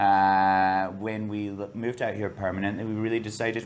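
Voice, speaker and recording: This man has a Scottish accent and a fairly low pitch. His intonation is monotone and flat. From Scotland. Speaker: bar and restaurant owner. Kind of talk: interview.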